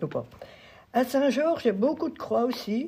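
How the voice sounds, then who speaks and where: A woman talks at a fairly slow pace with a dark, mellow tone. Her voice has vocal fry. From France, Sarthe. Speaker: former schoolteacher and farmer. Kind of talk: testimony. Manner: halting.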